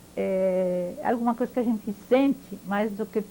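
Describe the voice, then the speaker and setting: This woman has a fairly high pitch and a dark, mellow tone. She talks at a fairly slow pace with ordinary pitch variation. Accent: French. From France (Paris), born in Poland. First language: French (speaking Portuguese). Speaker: Holocaust-era witness, interviewee. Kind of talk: oral history interview. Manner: halting, with hesitations.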